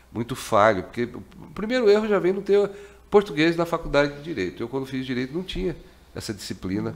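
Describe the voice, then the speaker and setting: A man talks at a fairly quick pace in a fairly high pitch, his voice making very wide pitch swings. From Corumbá, Mato Grosso do Sul, Brazil. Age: 60s. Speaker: radio host. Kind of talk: radio interview.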